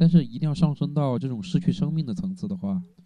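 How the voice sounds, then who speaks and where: A man speaks at a fairly quick pace with lively intonation. His tone is dark, mellow and somewhat breathy. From Hunan, China. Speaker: university student and cyclist. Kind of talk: casual interview chat. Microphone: poor recording quality due to equipment problems.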